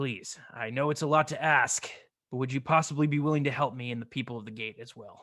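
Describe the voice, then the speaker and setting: A man puts on a raspy character voice at medium pitch. He rattles along at a very fast pace against a quiet background. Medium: actual play. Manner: warm, earnest.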